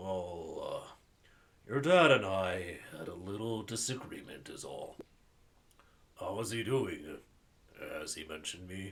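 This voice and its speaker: Using a put-on character voice, a man speaks in a raspy, fairly low pitch at a fairly slow pace. His loudness swings widely, and he leaves long, frequent pauses. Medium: game stream. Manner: hesitant, melancholy.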